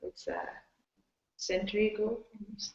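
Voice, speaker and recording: Medium in pitch, a woman speaks with a Persian accent. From Iran. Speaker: designer. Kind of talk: panel discussion. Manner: halting, many fillers.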